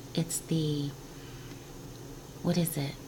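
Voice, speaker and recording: Very deep and low in pitch, a woman's voice comes through with audible room echo and noticeable background noise. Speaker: spiritual guidance vlogger. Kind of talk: casual spiritual talk. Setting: home office. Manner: whispering.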